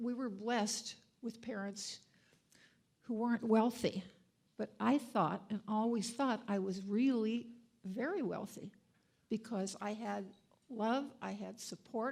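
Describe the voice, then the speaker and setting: A woman speaks at a fairly slow pace in a somewhat breathy voice, leaving long, frequent pauses. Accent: American. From USA. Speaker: donor and board member. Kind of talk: dedication speech. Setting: event with audience. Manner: halting.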